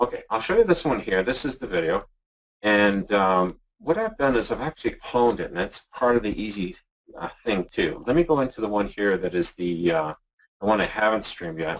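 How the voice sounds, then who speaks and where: A normal speaking voice from a man, fairly low in pitch, with lively intonation and a fairly quick pace. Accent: Canadian. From Canada. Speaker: internet marketer. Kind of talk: software demo tutorial in a webinar. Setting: webinar call.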